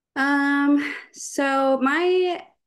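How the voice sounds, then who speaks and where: A woman's voice over a quiet background. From Texas, Austin area. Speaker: college gymnast. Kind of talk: casual interview. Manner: hesitant, many fillers.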